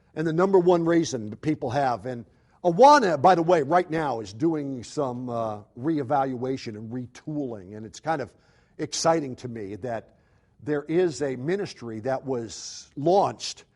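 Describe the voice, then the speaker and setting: A man with an American accent talks at a moderate pace and medium pitch, his tone animated. His intonation is lively, and his loudness swings widely. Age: 60s. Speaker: youth ministry speaker. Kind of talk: conference seminar talk.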